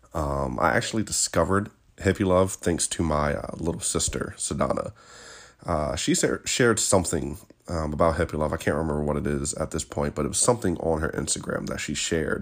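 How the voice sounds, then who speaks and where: In a very clean recording with a silent background, a man with an American accent and a very deep, low pitch speaks at a fairly quick pace in a relaxed tone, with vocal fry and ordinary pitch variation. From Virginia, US. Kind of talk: casual solo podcast monologue. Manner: relaxed, with fillers and laughs.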